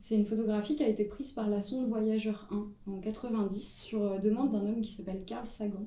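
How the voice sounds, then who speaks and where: A woman's voice with fairly even intonation, noticeable background noise and audible room echo. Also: fairly high pitch for a woman, fairly quick pace. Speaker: photographer. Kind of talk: panel discussion. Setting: stage with audience. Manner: loud.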